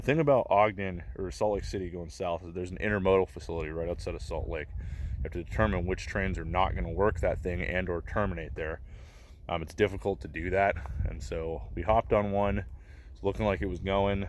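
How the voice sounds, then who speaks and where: This man talks at a fairly quick clip with lively intonation, vocal fry, and a very deep, low pitch. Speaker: freight train hopper vlogger. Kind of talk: vlog narration. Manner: fast.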